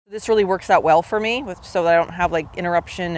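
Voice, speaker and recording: A woman's medium-pitched voice comes through a very clean recording with a silent background. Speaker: YouTube vlogger. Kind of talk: casual vlog monologue. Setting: outdoors in a park. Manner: loud; casual with fillers.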